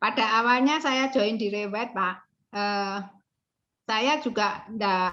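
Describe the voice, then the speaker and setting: Over a quiet background, a woman talks at a fairly slow pace in a bright, sharp tone with a fairly high pitch and ordinary pitch variation. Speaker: property agent. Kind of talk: interview answer.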